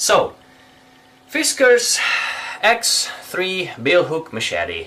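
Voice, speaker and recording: Noticeable background noise fills the recording. A man talks through it very slowly. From Hungary. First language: Hungarian. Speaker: bushcraft reviewer. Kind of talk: product review.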